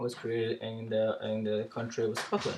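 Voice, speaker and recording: A man's somewhat breathy, medium-pitched voice at a moderate pace. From Ecuador. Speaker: biology teacher giving a speech. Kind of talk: practice speech, classroom talk. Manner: halting, many fillers.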